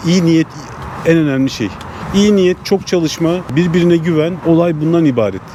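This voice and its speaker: A man speaks very rapidly while noticeable noise fills the background. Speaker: food truck owner. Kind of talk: interview.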